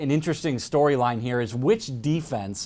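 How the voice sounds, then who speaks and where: A man with an ordinary speaking voice talks at a fairly quick pace in a medium pitch with lively intonation. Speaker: sports reporter and anchor. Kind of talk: sports broadcast highlights reel.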